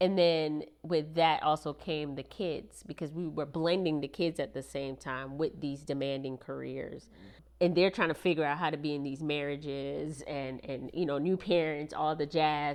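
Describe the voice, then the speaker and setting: With a slight Jamaican accent, a woman speaks at a very deep, low pitch and a moderate pace, with fairly even intonation and hardly any pauses. The background is quiet. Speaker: military service member, married guest. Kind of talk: casual podcast interview.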